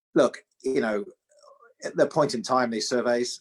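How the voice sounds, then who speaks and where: Recorded with a dry, close sound and no echo, a man with a British accent talks at a fairly quick pace. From UK. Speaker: financial regulator chief executive. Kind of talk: interview on an online seminar. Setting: video call.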